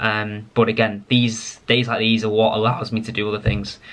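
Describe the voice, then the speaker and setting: This man has an English accent and a medium pitch. His intonation is monotone and flat. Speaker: pharmacist vlogger. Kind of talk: casual vlog talk to camera. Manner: rambling, hesitant with fillers.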